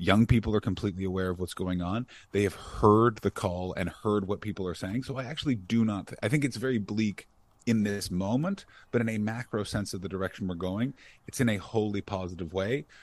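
The background is quiet as a man talks at a fairly quick pace. His pitch variation is ordinary. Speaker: comedian. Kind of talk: casual chat.

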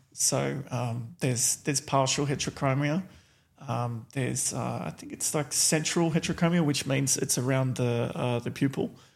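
The man has an Australian accent and a medium pitch. He keeps a moderate pace with ordinary pitch variation. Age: 40s. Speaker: reality TV contestant. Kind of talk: casual chat.

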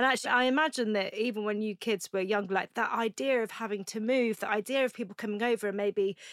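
Fairly high in pitch, a woman with a plain, everyday voice speaks at a fairly quick pace with ordinary pitch variation. The recording is very clean, with a silent background and dry, close sound with no echo. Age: 30s. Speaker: podcast host. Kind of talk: casual chat; promotional read.

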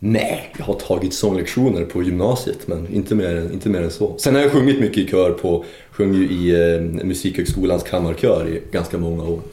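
The speaker talks at a moderate pace with ordinary pitch variation, amid noticeable background noise and audible room echo. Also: man, very deep, low pitch for a man. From Luleå, northern Sweden. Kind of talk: casual interview.

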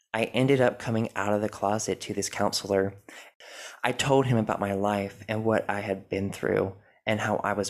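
On a very clean recording with a silent background, a man speaks at a moderate pace. His fairly low voice is monotone and flat. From US South, North Carolina. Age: 20s. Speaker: podcast host, religion recovery coach. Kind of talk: personal testimony monologue.

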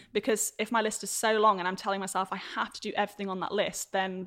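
Talking at a very fast pace, a woman with a British accent keeps a medium pitch and fairly even intonation. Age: 20s. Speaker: entrepreneur and content creator. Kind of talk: casual chat.

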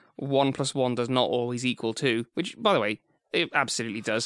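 A man speaks at a moderate pace and medium pitch with ordinary pitch variation, in a plain, everyday voice. The recording is very clean with a silent background, and the sound is dry and close with no echo. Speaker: podcast co-host. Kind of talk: casual podcast banter. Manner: witty, sarcastic.

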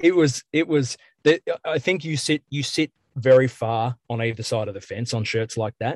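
At a moderate pace, a man with an Australian accent speaks at a medium pitch with ordinary pitch variation, in a dry, close sound with no echo. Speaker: metal band musician. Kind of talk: casual interview. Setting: in a car.

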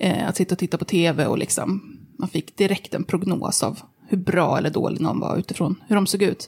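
A woman speaks at a fairly quick pace in a medium pitch. Her voice is somewhat breathy, with ordinary pitch variation. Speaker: journalist and body activist. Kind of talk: interview.

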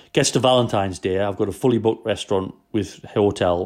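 A man talks at a very fast pace with a Geordie accent. His pitch sits fairly low. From Newcastle, northeast England. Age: 30s. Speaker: chef. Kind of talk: casual interview.

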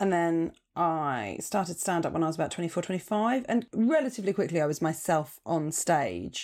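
With a southern English accent, a woman speaks fairly quickly in a fairly low pitch, with lively intonation, very even loudness and hardly any pauses, on a very clean recording with a silent background. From southern England, Portsmouth. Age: 30s. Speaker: stand-up comedian. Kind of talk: casual chat.

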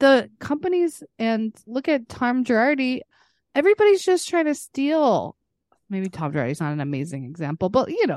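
A woman's high voice at a moderate pace, with very wide pitch swings and a dry, close sound with no echo. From Texas. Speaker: podcast co-host. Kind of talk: casual chat.

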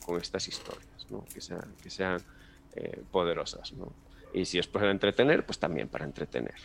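A man speaks at a moderate pace with a Galician accent. His loudness swings a lot. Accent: Peninsular Spanish, Galician. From Galicia, Spain. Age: 30s. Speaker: animation teacher. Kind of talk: casual interview.

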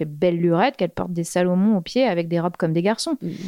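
The woman talks at a very fast pace, with a quiet background behind her. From Normandy, France. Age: 30s. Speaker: fashion stylist. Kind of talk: casual chat.

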